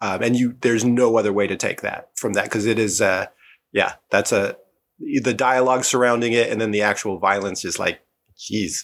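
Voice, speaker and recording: This man has a plain, everyday voice at medium pitch, with fairly even intonation. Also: moderate pace. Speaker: podcast guest, film fan. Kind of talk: casual conversation about film.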